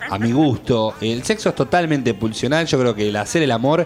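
Ordinary pitch variation and a fairly quick pace from a man at medium pitch, with noticeable background noise. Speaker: radio host. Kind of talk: casual chat.

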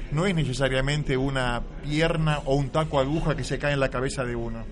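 A man speaking at a moderate pace, with audible room echo and noticeable background noise. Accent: Argentine. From Buenos Aires, Argentina. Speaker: writer and playwright. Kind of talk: radio interview. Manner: halting, repeats words.

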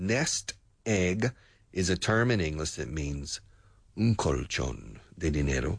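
Over a quiet background, a man talks at a fairly slow pace with vocal fry and very wide pitch swings. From US South. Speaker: radio host and English teacher. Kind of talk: news commentary for English learners. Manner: hesitant, many fillers.

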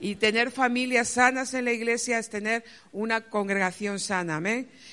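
In a Castilian accent, a woman with a bright, sharp tone speaks at a moderate pace and fairly even intonation against a quiet background. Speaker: pastor. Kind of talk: testimony. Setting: church.

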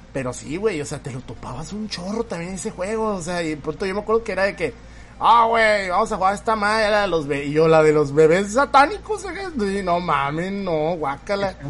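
Ordinary pitch variation at a moderate pace. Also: man, high pitch for a man. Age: 30s. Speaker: podcast host. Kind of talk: casual chat.

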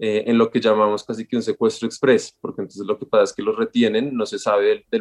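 A man's voice with a dry, close sound and no echo. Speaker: anthropologist and human rights NGO coordinator. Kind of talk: interview. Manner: halting.

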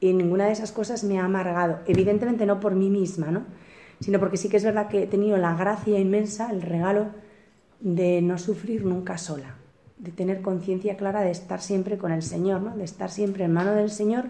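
Through audible room echo, a woman with a dark, mellow tone speaks at medium pitch and a fairly quick pace. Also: fairly even intonation. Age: 40s. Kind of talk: spiritual retreat talk.

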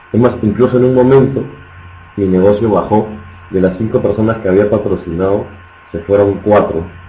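At a fairly quick pace, a man with a fairly low pitch talks in a plain, everyday voice with fairly even intonation. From Peru. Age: 20s. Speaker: network marketing trainer. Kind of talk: motivational training talk. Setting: online webinar.

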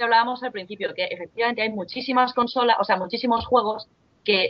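With a Spanish accent, a woman talks using fairly even intonation. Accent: Peninsular Spanish. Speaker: podcast panelist. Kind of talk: casual chat.

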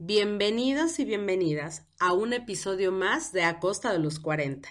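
Moving through very wide pitch swings, a woman speaks at medium pitch and a fairly slow pace. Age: 40s. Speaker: podcast host. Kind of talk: casual podcast chat. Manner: animated.

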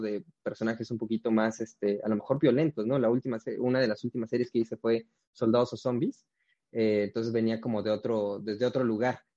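Fairly even intonation marks this dark, mellow tone, heard in a dry, close sound with no echo. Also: man. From Mexico, Oaxaca (Huajuapan de León). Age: young. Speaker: actor. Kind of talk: interview. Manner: halting, many repeated words.

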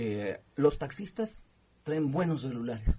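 Very wide pitch swings mark the man's dark, mellow delivery. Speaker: radio co-host. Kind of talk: radio talk show.

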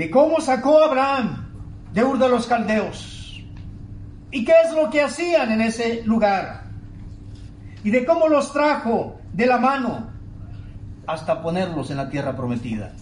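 This man's voice sits extremely high and swings very widely in pitch, at a fairly slow pace. Long, frequent pauses break it up over noticeable background noise. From Tabasco, Mexico. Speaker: pastor. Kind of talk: sermon. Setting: church, with online broadcast. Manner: emphatic, exhorting preacher in full flow.

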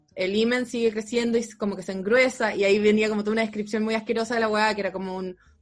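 A woman at a very fast pace with hardly any pauses, a fairly high pitch, monotone, flat intonation and a Chilean accent. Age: 30s. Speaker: comedian. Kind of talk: casual chat.

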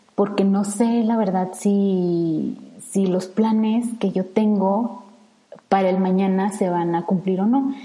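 Very slow speech from a woman at a medium pitch, with fairly even intonation over noticeable background noise. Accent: central Mexican. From Mexico, Salamanca, Guanajuato. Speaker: environmental engineer and podcaster. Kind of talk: solo podcast monologue. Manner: hesitant, many fillers.

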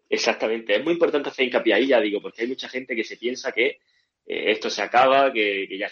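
A man with a medium-pitched, plain, everyday voice speaks with ordinary pitch variation. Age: young. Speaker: podcast host. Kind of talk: live-stream discussion.

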